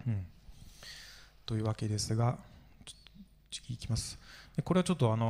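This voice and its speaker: A man with a dark, mellow tone, lively intonation and a somewhat breathy quality, at a very fast pace broken by long, frequent pauses. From France. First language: French (speaking Japanese). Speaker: video game historian and author. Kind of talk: conference panel discussion. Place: hall. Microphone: handheld.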